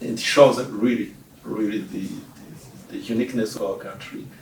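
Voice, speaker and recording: Noticeable noise sits in the background. The man talks at a moderate speed. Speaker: ambassador. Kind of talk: interview. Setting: embassy office. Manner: hesitant, many fillers.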